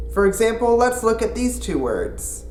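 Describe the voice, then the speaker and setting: A man with a Canadian accent, with audible room echo and music in the background. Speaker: language video host. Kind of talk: educational video presentation. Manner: exaggerated accent demonstrations at times.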